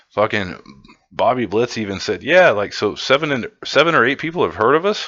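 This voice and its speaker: This man talks at a fairly quick pace with a medium pitch. His pitch swings very widely. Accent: Midwestern US. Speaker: metal concert reviewer, YouTuber. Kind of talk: casual monologue video review. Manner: casual, rambling with fillers and profanity.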